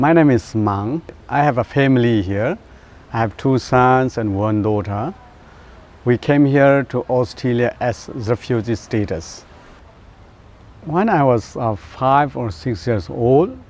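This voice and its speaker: A man with a Burmese accent speaks at a fairly slow pace in a medium-pitched voice, his lively intonation broken by long, frequent pauses. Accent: Burmese (Zo) accent in English. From Myanmar. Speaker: pastor. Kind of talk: personal testimony. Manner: halting.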